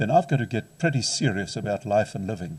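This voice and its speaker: Very wide pitch swings and vocal fry in a man's speech. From South Africa. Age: 60s. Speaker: counselling psychologist and lecturer. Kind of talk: lecture.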